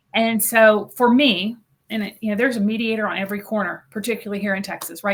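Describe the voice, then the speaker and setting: Talking at a very fast pace, a woman holds a medium pitch. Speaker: mediator. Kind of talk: interview conversation. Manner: upbeat.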